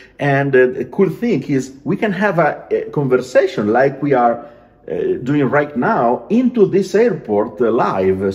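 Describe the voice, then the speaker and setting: With an Italian accent, a man speaks at a fairly slow pace using very wide pitch swings. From Italy. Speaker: aircraft paint designer. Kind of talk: casual chat; video call conversation. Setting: video call. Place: home room. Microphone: video call.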